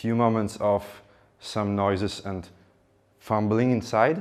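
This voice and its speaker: At a very slow pace, a man with a Ukrainian accent speaks in a fairly low pitch with ordinary pitch variation. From Ukraine. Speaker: public speaker. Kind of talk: speech.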